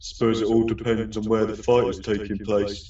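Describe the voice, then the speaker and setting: A man puts on a character voice at a medium pitch, speaking at a moderate pace in a flat monotone with a slight echo. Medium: audio drama.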